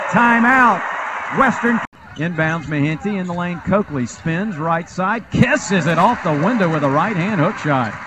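A man's high voice moves with lively intonation while noticeable background noise plays behind it. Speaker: live sports commentator. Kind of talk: live play-by-play basketball commentary, rapid-fire calling of shots and passes. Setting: arena, broadcasting from the game.

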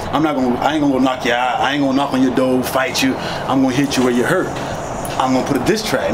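Noticeable background noise fills the recording. Over it, a man speaks at a very fast pace. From Pompano Beach, Broward County, Florida. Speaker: rapper. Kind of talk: casual interview. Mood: relaxed, candid. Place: street.

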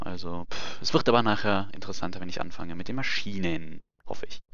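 Fairly even intonation marks a man's very deep, low voice. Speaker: gaming live streamer. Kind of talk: live gameplay commentary. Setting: home streaming setup. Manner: casual, hesitant with many fillers.

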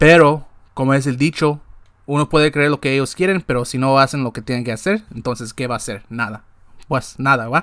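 Against a quiet background, a man talks at a fairly quick pace with ordinary pitch variation, the sound dry with no echo. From Guatemala. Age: 20s. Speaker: sports podcast host; sports show host. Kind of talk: casual monologue. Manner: halting, with many repetitions. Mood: frustrated but hopeful. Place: home room. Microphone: webcam.

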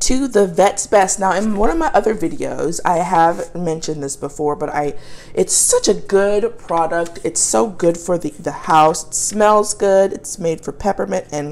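A woman speaking at a moderate pace, hardly pausing, with ordinary pitch variation. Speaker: pet owner reviewing products. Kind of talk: casual product review. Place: kitchen. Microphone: phone near.

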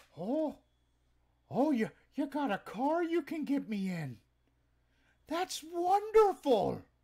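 Someone uses a put-on character voice at a very slow pace, with long, frequent pauses. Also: man, extremely high pitch for a man. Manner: eager, naive.

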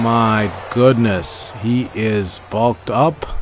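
Behind this man's voice there is noticeable background noise. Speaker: gaming YouTuber. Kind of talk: live play-by-play commentary over gameplay, like sports commentary. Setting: recorded video voiceover while playing a game. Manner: choppy, repeating phrases as the action unfolds.

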